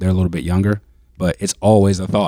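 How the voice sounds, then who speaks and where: Recorded with a dry, close sound and no echo, a man with an American accent speaks in a very deep, low pitch and a dark, mellow tone. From Maryland, DC-Baltimore area. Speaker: personal trainer and former football player. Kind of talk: casual discussion.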